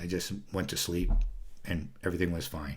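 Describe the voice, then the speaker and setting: With a very deep, low pitch, a man speaks at a fairly quick pace with ordinary pitch variation, and audible room echo surrounds him. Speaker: video blogger. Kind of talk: casual monologue. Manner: fast; halting, many fillers.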